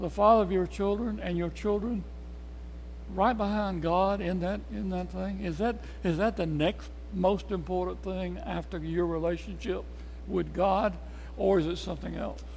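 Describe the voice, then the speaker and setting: A man with a Tennessee accent at a fairly slow pace, with long, frequent pauses and audible room echo. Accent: Southern US (Tennessee). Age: 80s+. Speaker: Bible study teacher. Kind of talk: Bible study lesson.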